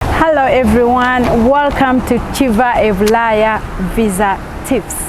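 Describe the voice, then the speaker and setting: A woman with a high pitch speaks at a very slow pace. Noticeable background noise and audible room echo surround her voice. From Uganda. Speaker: YouTube visa advice host. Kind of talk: tutorial. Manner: animated.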